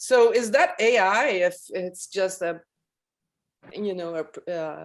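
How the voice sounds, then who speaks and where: Speaking very slowly with a French accent, a woman at medium pitch shows big swings in loudness. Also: ordinary pitch variation. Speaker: audience member in discussion forum. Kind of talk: casual video-call discussion. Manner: halting.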